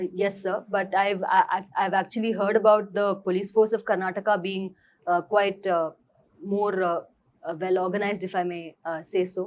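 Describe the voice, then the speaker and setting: A woman talks in a Tamil accent at a moderate pace. Her medium-pitched voice stays monotone and flat. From Bangalore, India. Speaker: civil services exam candidate. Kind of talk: mock job interview.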